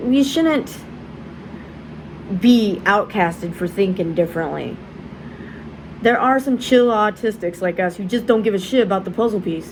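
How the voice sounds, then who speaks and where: Through noticeable background noise, a woman speaks at a moderate pace and medium pitch with ordinary pitch variation. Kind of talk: casual vlog. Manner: halting, repetitions.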